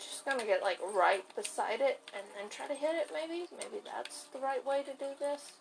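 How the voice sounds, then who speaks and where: Big swings in loudness and very wide pitch swings at a moderate pace, over noticeable background noise. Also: woman, high pitch for a woman. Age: 20s. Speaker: gaming podcaster. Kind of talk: casual gameplay chat.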